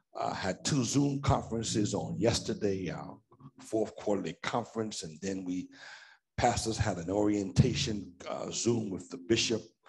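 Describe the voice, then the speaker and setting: With vocal fry and ordinary pitch variation, the speaker goes at a moderate pace against a quiet background. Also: man, fairly low pitch for a man, big swings in loudness. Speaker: pastor. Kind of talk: sermon. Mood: relaxed, anecdotal. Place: church. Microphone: headset.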